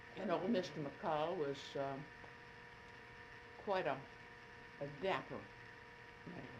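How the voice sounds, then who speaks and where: A woman with a very deep, low voice speaks at a very slow pace, with ordinary pitch variation. Long, frequent pauses break her speech amid noticeable background noise. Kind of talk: oral history interview answer.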